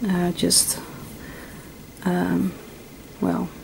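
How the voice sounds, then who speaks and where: Over noticeable background noise, a woman with a Dutch accent speaks at medium pitch. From Netherlands. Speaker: crochet teacher. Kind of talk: tutorial. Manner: halting, many fillers; stuttering at times.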